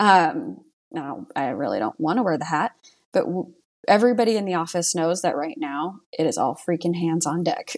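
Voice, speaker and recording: The woman's fairly low-pitched voice is an unremarkable speaking voice. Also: lively intonation, moderate pace. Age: 30s. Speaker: insurance agency owner. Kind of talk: casual chat.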